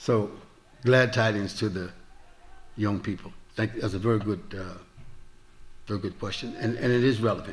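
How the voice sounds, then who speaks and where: A man with an American accent speaks at a fairly low pitch and moderate pace, somewhat breathy, with fairly even intonation and long, frequent pauses. Audible room echo surrounds the voice. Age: 70s. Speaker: Islamic preacher. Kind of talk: lecture with Q&A. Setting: mosque with audience.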